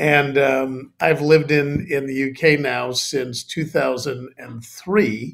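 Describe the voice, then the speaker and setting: Speaking at a very slow pace with hardly any pauses, a man with an American accent has a fairly high pitch, fairly even intonation, and big swings in loudness. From US, Chicago. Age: 60s. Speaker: company CEO. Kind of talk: interview. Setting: remote call.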